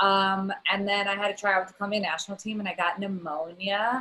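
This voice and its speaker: A loud woman with an American accent speaks at a medium pitch and a fairly quick pace. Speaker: comedy writer. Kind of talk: casual chat.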